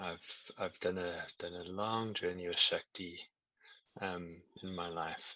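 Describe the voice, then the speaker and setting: In a South African accent, the voice is bright and sharp in tone, flat and monotone, at a fairly slow pace with long, frequent pauses. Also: man, very deep, low pitch for a man. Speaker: tantra and meditation teacher. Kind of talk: online workshop teaching. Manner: halting, repeats words.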